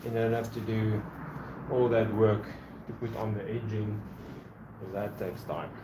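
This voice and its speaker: Against noticeable background noise and audible room echo, a man with a fairly low pitch talks at a moderate pace in a monotone, flat way, leaving long, frequent pauses. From South Africa. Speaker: woodworker. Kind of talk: live stream workshop chat. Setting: workshop.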